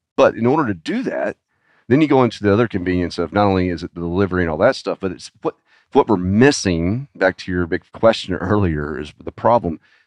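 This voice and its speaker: Talking at a very fast pace, a man with an American accent uses lively intonation in a fairly low pitch. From Arkansas, US South. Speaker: e-commerce agency founder. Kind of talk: interview.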